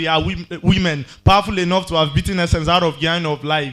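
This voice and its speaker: A man with a high voice talks at a fairly quick pace, his intonation fairly even. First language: Yoruba. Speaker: spoken word poet. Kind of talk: poetry performance.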